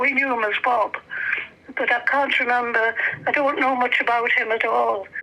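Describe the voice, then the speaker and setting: A woman's raised, projected voice, high in pitch, with fairly even intonation at a moderate pace over noticeable background noise. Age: 80s+. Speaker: relative interviewed about family history. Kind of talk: casual chat. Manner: halting.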